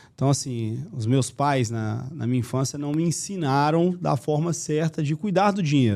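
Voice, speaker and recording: On a very clean recording with a silent background, a man with a Minas Gerais accent speaks at a moderate pace with hardly any pauses, his fairly high pitch showing ordinary pitch variation and a dark, mellow tone. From Minas Gerais, Brazil. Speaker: marketing agency owner. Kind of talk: podcast interview.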